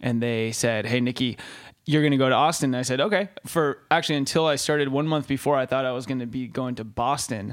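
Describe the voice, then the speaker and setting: On a very clean recording with a silent background, a man of medium pitch with an American accent talks at a very fast pace with ordinary pitch variation. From Los Angeles, California. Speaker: tech and finance investor. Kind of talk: interview. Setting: conference room.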